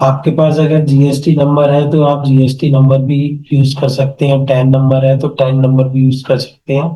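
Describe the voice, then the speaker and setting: With a dark, mellow tone and a somewhat breathy quality, a man at a fairly high pitch speaks at a moderate pace in a monotone, flat delivery with hardly any pauses and very even loudness, amid audible room echo. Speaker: online marketing teacher. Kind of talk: screen-share tutorial class.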